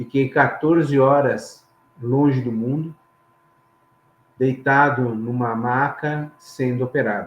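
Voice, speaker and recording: Speaking very slowly, a man leaves long, frequent pauses. His medium-pitched voice keeps fairly even intonation. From Brazil, São Paulo city. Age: 60s. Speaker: engineer and safety trainer, interview guest. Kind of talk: personal testimony.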